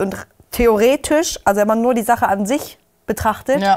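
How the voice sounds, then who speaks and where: Over a quiet background, a woman speaks in an animated tone with ordinary pitch variation. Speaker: YouTube reality TV commentator. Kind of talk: casual chat. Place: studio. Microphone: lapel.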